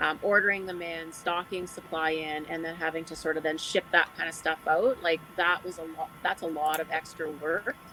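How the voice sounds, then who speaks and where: Over noticeable background noise, a woman with a Canadian accent speaks at a moderate pace and fairly low pitch with fairly even intonation. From Alberta, Canada. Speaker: online business owner. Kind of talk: panel discussion.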